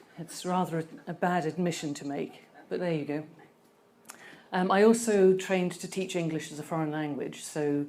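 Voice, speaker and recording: Soft-spoken and very deep in pitch, a woman talks at a moderate pace with fairly even intonation while the room echo is audible. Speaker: conference speaker. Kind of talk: presentation talk. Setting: stage with audience. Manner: hesitant.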